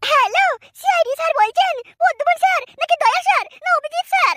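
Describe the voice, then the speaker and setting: A woman's cartoonish character voice, squeaky and extremely high-pitched, at a fairly quick pace with a dry, close sound and no echo. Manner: giddy, gushing.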